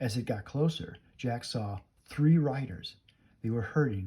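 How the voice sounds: Reading in a natural voice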